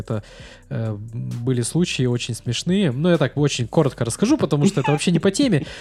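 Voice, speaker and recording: Over music in the background, a man talks very fast at a medium pitch. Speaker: podcast host. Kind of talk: casual interview chat. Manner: informal, conversational.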